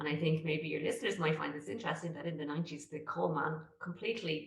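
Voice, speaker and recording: A woman with a Dublin accent speaks in a very deep, low pitch. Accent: Irish, Dublin. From Ireland. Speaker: real estate agent. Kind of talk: interview answer.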